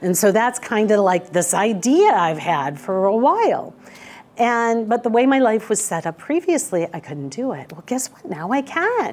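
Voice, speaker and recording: A woman with a fairly high pitch speaks at a moderate pace, her pitch swinging very widely. Her loudness rises and falls in big swings over noticeable background noise. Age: 50s. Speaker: minister of spiritual community. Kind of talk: casual spiritual talk. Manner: halting.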